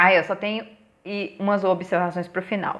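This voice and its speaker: A woman at a fairly slow pace. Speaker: TV series reviewer. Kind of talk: casual review vlog.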